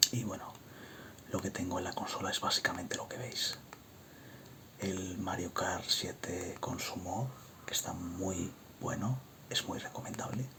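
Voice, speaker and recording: Someone whispers at a fairly slow pace. Noticeable background noise is present. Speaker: ASMR creator. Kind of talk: ASMR show-and-tell of a game console collection. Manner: soft-spoken.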